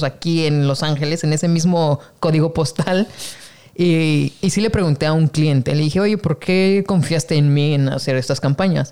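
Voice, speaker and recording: A man with a normal speaking voice talks at a moderate pace, using fairly even intonation and a fairly high pitch. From Mexico. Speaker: podcast host, photographer. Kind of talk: casual interview chat.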